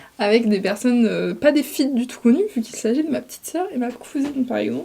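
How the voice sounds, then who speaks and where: Over noticeable background noise, a woman talks at a very fast pace with high pitch and ordinary pitch variation. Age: 20s. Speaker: vlogger. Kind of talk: casual chat.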